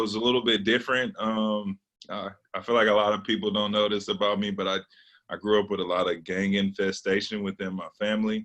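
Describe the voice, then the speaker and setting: With an American accent, a man speaks at a fairly quick pace and fairly low pitch, with ordinary pitch variation and an unremarkable speaking voice. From Los Angeles, California. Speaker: former college basketball player. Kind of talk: personal testimony.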